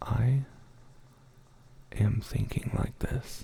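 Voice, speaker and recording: There is noticeable noise in the background. A man whispers through it very slowly. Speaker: ASMR creator. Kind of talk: casual talk to stream chat. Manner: soft-spoken.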